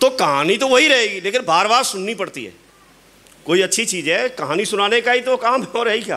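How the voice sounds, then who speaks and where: A man uses a raised, projected voice at a high pitch with lively intonation. He keeps a moderate pace over noticeable background noise. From Uttar Pradesh, India. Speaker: network marketing leader. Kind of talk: motivational talk. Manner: animated.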